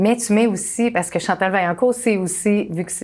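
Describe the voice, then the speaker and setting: A woman with a Quebec accent. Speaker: talk show host. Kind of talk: casual interview chat. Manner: hesitant, many fillers.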